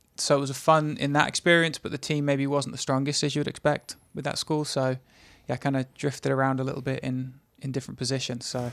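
A man with an English accent, fairly high-pitched for a man, talking very fast in a flat monotone, on a very clean recording with a silent background. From England. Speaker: soccer assistant coach. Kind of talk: casual interview.

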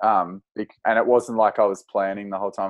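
With an Australian accent, a man of fairly low pitch speaks in a monotone, flat way at a moderate pace, with a dry, close sound with no echo. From Australia, northern New South Wales. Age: 20s. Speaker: outdoor educator and cycling adventurer. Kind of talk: casual interview.

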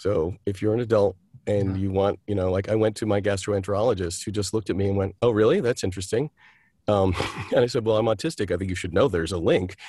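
A man talks at a very fast pace in a fairly low pitch, with fairly even intonation. His voice is somewhat breathy, with a dark, mellow tone. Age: 60s. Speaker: actor, director and playwright. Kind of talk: interview.

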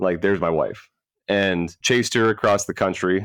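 On a very clean recording with a silent background, a man with an American accent talks at a fairly quick pace in a very deep, low voice. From Florida. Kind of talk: podcast interview.

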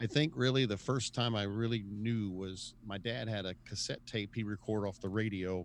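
A man with a normal speaking voice, fairly low in pitch with ordinary pitch variation, at a moderate pace with hardly any pauses against a quiet background. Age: 50s. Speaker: musician. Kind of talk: casual chat.

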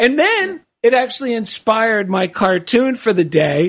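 The voice carries an American accent and ordinary pitch variation. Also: man. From New Jersey. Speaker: radio show co-host, cartoonist. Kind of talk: casual comedic chat.

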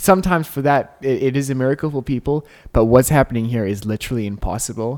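A man speaks at a very fast pace and a medium pitch with ordinary pitch variation, in a dry, close sound with no echo on a very clean recording with a silent background. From South Africa. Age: young. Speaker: podcast co-host. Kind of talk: casual chat with faith testimony. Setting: home recording.

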